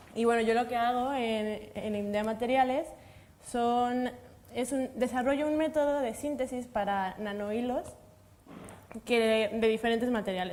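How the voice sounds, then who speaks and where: A woman speaks at a fairly high pitch. She has a Mexican accent. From Mexico. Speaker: materials science researcher. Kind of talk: panel discussion.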